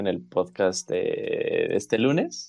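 A man's voice, Mexican accent. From Mexico. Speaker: podcast co-host. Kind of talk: casual chat.

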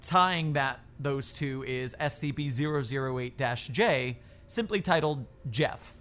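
A man with an American accent speaks very slowly at a fairly high pitch with ordinary pitch variation. Music plays in the background. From Florida. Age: 30s. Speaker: YouTuber and TikToker. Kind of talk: casual chat.

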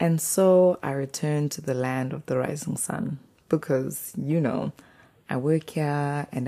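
In a South African accent, a woman speaks at a fairly slow pace with a very deep, low pitch, ordinary pitch variation and a dark, mellow tone. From South Africa, KwaZulu-Natal. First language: isiZulu. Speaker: podcast host. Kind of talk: personal reflection monologue.

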